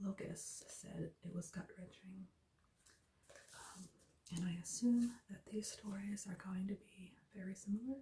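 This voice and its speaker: Soft-spoken and relaxed in tone, the voice moves at a fairly slow pace. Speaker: ASMR video creator. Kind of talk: reading book blurb and reviews aloud. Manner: soft-spoken, relaxed.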